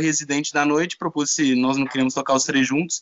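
A man speaks at a very fast pace. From Brazil, São Paulo. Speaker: DJ. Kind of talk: casual chat.

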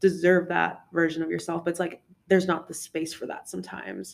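A woman speaks with vocal fry at a fairly low pitch. Her pace is fairly quick. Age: 20s. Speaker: podcast co-host. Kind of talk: casual chat.

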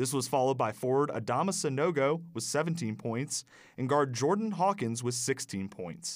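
Recorded very cleanly against a silent background, a man with a normal speaking voice talks in a medium pitch. He keeps a moderate pace and lively intonation. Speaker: college radio sports reporter. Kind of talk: newsreading, scripted sports report. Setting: radio studio. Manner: brisk, upbeat and formal.

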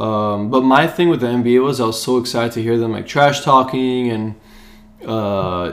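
A man speaks at a medium pitch and a moderate pace. He has a normal speaking voice with fairly even intonation. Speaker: sports podcast co-host. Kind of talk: casual chat. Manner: casual, chatty.

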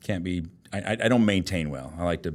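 A man with a Texan accent speaks with a very deep, low pitch and ordinary pitch variation. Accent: Texan, slow drawl. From Austin, Texas. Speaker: loan officer. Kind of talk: casual interview chat.

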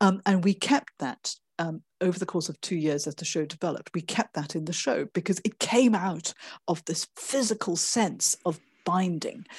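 A somewhat breathy woman with ordinary pitch variation, dry and close with no echo, against a quiet background. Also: fairly low pitch for a woman, moderate pace. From Malaysia. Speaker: author and performance artist. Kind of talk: interview conversation. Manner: hesitant, many fillers.

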